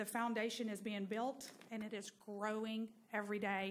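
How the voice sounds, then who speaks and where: A woman's voice at a moderate pace, in monotone, flat intonation. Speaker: presenter. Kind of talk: public presentation to council. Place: hall. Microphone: podium.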